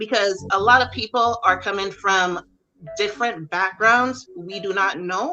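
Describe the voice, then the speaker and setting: Music plays in the background as a woman talks at a fairly slow pace and a medium pitch. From Barbados. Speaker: army drill sergeant, military veteran. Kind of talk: interview answer. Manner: firm, direct.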